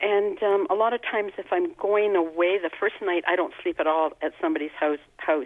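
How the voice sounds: A woman with a fairly low pitch speaks at a moderate pace with fairly even intonation, in a dry, close sound with no echo.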